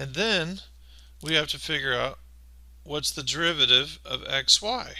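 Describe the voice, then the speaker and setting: A man talks at a very slow pace. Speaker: maths teacher. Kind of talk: tutorial. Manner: casual, conversational.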